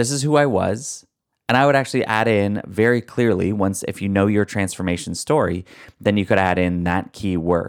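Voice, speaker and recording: In a very clean recording with a silent background, a man with a fairly low pitch talks in an animated, upbeat tone at a moderate pace with ordinary pitch variation. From Canada. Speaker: podcast host and story coach. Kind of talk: solo podcast episode, coaching advice. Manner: animated, conversational, upbeat.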